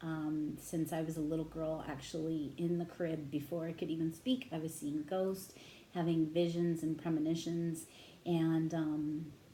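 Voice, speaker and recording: Quiet and monotone with flat intonation, a woman speaks at a moderate pace in a fairly low pitch and a dark, mellow tone, with audible room echo. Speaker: tarot reader. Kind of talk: tarot reading monologue. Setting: home at midnight, headset. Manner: naturally loud voice; trying to talk quietly.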